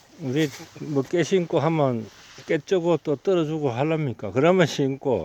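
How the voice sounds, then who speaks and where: Speaking at a fairly slow pace, a man with a fairly high pitch uses ordinary pitch variation, captured in a dry, close sound with no echo. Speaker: farmer. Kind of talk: casual conversation.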